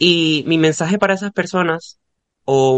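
This man has an ordinary speaking voice, fairly high in pitch with ordinary variation, recorded in a dry, close sound with no echo. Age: 20s. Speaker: podcast guest. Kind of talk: casual chat.

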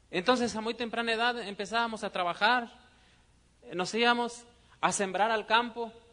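A man with a high pitch and a bright, sharp tone projects a raised voice, keeping his intonation fairly even and taking long, frequent pauses. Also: moderate pace. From Mexico, Guanajuato. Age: 30s. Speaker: network marketing business speaker. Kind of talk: motivational seminar talk. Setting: stage with audience.

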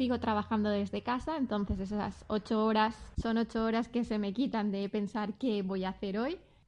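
With hardly any pauses, a woman in a normal speaking voice talks at a moderate pace with fairly even intonation. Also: fairly high pitch for a woman. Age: 30s. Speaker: customer service worker. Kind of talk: interview answers.

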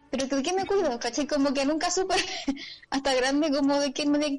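Noticeable background noise runs under speech that has ordinary pitch variation. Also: woman. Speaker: comedian. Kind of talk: casual chat.

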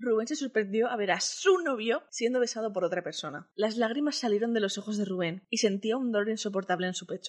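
Someone is reading aloud in a natural voice with ordinary pitch variation.

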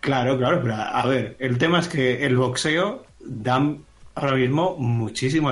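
A man speaks at a moderate pace with a medium pitch and ordinary pitch variation, with noticeable background noise. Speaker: graphic designer and tech commentator. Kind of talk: casual chat.

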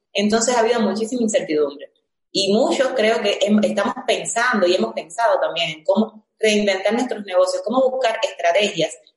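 A woman speaks at a fairly quick pace with fairly high pitch, ordinary pitch variation and an ordinary speaking voice. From Cuba, Villa Clara. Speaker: entrepreneur. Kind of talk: panel discussion. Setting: video call.

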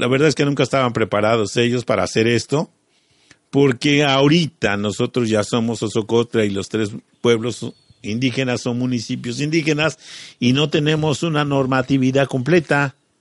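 A man has an unremarkable speaking voice at a medium pitch, with ordinary pitch variation. He goes at a moderate pace, and the sound is dry and close with no echo. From Mexico, Morelos. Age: 50s. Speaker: local businessman and community activist. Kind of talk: radio interview. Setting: community radio studio.

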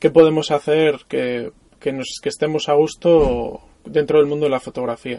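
A man's voice sits fairly high in pitch, with a dark, mellow tone. He keeps a moderate pace and ordinary pitch variation. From Mallorca, Spain. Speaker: photographer. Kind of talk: casual interview. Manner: halting, with repetitions.

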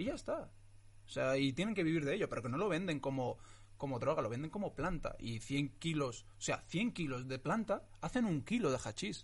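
The voice is somewhat breathy, with lively intonation and a moderate pace. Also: man, fairly high pitch for a man. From Morocco (Tetouan), raised from age 9 in Getafe, Madrid. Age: 20s. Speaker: actor. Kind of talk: casual interview chat. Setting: studio with camera and microphone.

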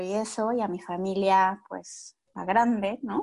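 In a Mexican accent, a woman speaks at medium pitch over a quiet background. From Mexico. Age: 40s. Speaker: course participant. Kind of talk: personal testimony.

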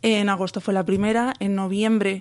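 A woman speaks at a moderate pace in an ordinary speaking voice, her pitch medium. The background is quiet. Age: 20s. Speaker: epilepsy patient and blogger. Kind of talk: interview testimony.

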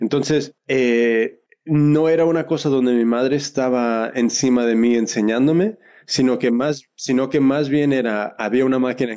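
Loudness stays very even throughout. The pace is fairly slow, and the intonation is fairly even. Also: man, medium pitch for a man. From Oakland, California, Mexican parents. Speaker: fashion entrepreneur and sewing teacher. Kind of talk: interview.

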